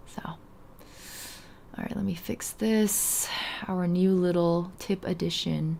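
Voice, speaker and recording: Noticeable background noise sits behind a woman speaking at a very slow pace with long, frequent pauses. Her pitch is fairly low and her intonation fairly even. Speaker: video game streamer. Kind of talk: casual live stream chat. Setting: live stream.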